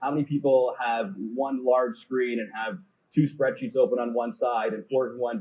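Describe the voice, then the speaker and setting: A man speaks with lively intonation. His tone is dark and mellow, and somewhat breathy. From Canada, Toronto. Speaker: e-commerce conference speaker. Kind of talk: conference talk. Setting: stage with audience. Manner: fast.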